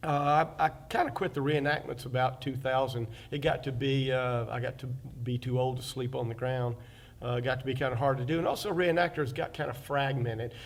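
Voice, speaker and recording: With an Alabama accent, a man talks at a moderate pace, his medium-pitched voice keeping a fairly even intonation. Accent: Southern US (Alabama). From US South, Fairhope, Alabama. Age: 60s. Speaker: oral history interviewee, local artist and reenactor. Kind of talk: oral history interview. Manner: halting, many fillers.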